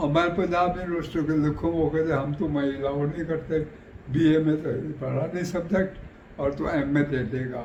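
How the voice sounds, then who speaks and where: A man with a fairly high pitch. Noticeable background noise sits behind him. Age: 80s+. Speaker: partition survivor. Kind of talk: interview answer.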